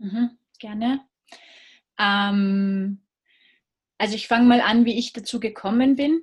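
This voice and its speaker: A woman with an Austrian accent speaks at a very slow pace, her voice somewhat breathy. Her pitch varies in an ordinary way, with long, frequent pauses. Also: fairly high pitch for a woman. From Austria, Salzburg. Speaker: business consultant. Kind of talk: interview.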